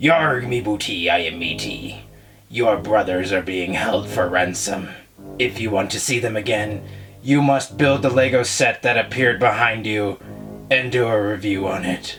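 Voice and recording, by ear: Putting on a growling, gruff character voice, a man speaks at a fairly low pitch and a moderate pace.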